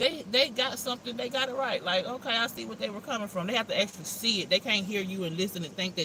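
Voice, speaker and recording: Noticeable background noise underlies words delivered very fast. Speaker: astrology tarot reader. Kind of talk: casual livestream reading.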